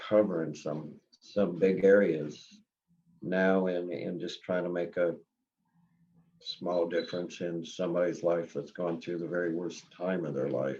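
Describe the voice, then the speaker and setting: Speaking at a fairly slow pace, a man with an American accent has a dark, mellow tone, a very deep, low pitch and fairly even intonation. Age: 70s. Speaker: search and recovery team founder. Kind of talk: interview. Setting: podcast. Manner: halting, many fillers.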